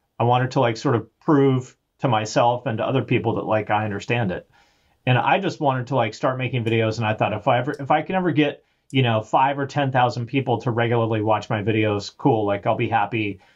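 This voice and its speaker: Somewhat breathy speech at a very fast pace, with ordinary pitch variation. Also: man, medium pitch for a man. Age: 40s. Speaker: music YouTuber. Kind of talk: casual chat.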